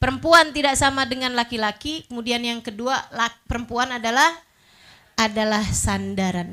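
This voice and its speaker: Speaking at a moderate pace, a woman uses a raised, projected voice with a bright, sharp tone and lively intonation. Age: 40s. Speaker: female Islamic preacher. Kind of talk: religious lecture. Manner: casual, conversational.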